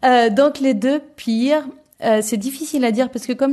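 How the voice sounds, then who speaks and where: At a fairly quick pace, a woman speaks in a plain, everyday voice with ordinary pitch variation. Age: 30s. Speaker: returned expat interviewee. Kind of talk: casual interview chat.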